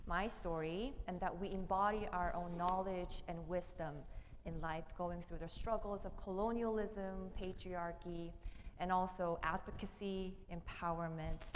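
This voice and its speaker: A woman's medium-pitched voice at a fairly slow pace, fairly even in intonation, with audible room echo. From South Korea. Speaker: theology PhD candidate and minister. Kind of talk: panel discussion. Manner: hesitant, with many fillers.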